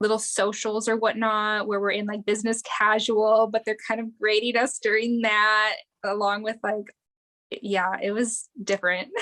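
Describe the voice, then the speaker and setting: A woman speaks in a fairly high pitch at a moderate pace. Her intonation is monotone and flat, with a slight Wisconsin accent. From Wisconsin, near Green Bay. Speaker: air force veteran, combat medic. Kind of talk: casual interview.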